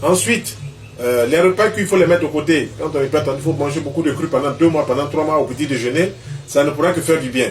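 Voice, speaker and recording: Against noticeable background noise, a man with a fairly high pitch races along at a very fast pace with ordinary pitch variation. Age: 60s. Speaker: traditional health practitioner. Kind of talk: interview answer on health advice.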